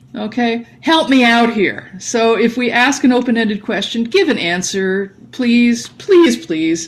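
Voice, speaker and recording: A woman talks in a fairly high pitch with lively intonation and hardly any pauses. Audible room echo and noticeable background noise are present. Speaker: language teacher. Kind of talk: lecture. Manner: fast.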